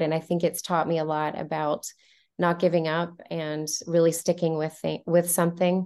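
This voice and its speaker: A woman speaks with an American accent at a fairly slow pace. Her pitch is fairly low. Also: quiet background. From US South, Montgomery, Alabama. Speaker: professional ballroom dancer. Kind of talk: interview.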